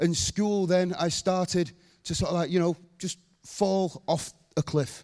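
A man's high-pitched voice at a fairly slow pace with fairly even intonation, in a very clean, silent recording with a dry, close sound and no echo. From northern England, Rochdale. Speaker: evangelist. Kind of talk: testimony; sermon.

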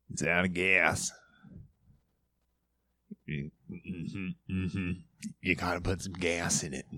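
Using a put-on character voice, a man speaks at a very deep, low pitch and a fairly slow pace with long, frequent pauses, on a very clean recording with a silent background. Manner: slow, halting, flat.

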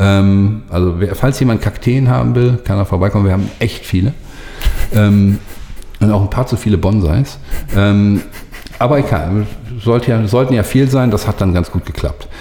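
There is noticeable background noise as a man speaks in a fairly low pitch at a moderate pace. He leaves long, frequent pauses, keeping very even loudness and ordinary pitch variation. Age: 40s. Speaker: social media agency owner. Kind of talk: casual interview. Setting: agency office.

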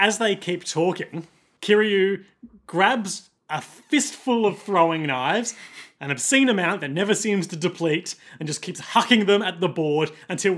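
The speech, in an Australian accent, has ordinary pitch variation and moves at a moderate pace. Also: man. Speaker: podcast co-host. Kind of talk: casual chat.

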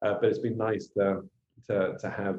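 A man's fairly low voice with an English accent, at a moderate pace. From England. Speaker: missionary and podcast co-host. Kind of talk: casual chat.

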